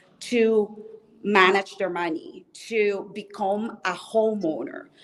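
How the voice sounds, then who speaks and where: Very slow speech with a Spanish accent and ordinary pitch variation, amid noticeable background noise. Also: woman. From Colombia. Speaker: mortgage specialist and former musician. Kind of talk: interview. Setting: hotel lobby at a convention.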